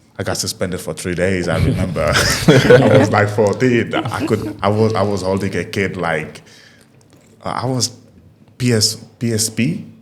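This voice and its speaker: A man speaks at a moderate pace with a fairly low pitch and ordinary pitch variation. Noticeable background noise and audible room echo fill the recording. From Africa, moved to the Netherlands at ten. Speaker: DJ. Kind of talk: casual chat.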